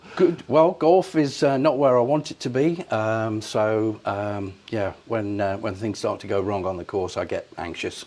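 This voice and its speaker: Speaking with an English accent, a man at medium pitch talks at a fairly slow pace with lively intonation and hardly any pauses. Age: 60s. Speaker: amateur golfer. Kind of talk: casual chat. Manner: halting.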